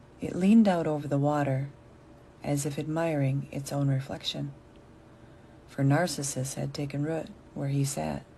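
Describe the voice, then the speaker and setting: A woman with an American accent speaks at a moderate pace in a very deep, low voice with a dark, mellow tone and fairly even intonation. Long, frequent pauses and audible room echo mark the clip. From USA. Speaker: storyteller reading for learners. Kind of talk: reading aloud.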